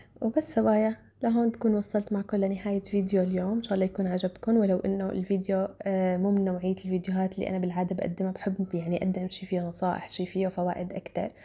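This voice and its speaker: At a very fast pace with hardly any pauses, a woman speaks at a medium pitch in a dark, mellow, somewhat breathy tone with fairly even intonation. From Syria, Damascus. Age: 20s. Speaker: vlogger. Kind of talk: casual Q&A vlog. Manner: halting, with fillers.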